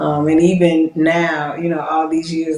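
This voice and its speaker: A woman talks in a plain, everyday voice at a fairly low pitch. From US South, Georgia (Decatur, metro Atlanta). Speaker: police captain. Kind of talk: interview.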